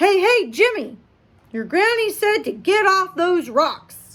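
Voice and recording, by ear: Using a put-on character voice, a woman talks at a fairly slow pace with extremely high pitch and very wide pitch swings.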